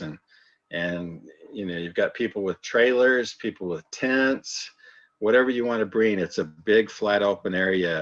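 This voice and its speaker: A man's normal speaking voice, at a fairly slow pace with ordinary pitch variation. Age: 60s. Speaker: amateur radio club presenter. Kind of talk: club presentation.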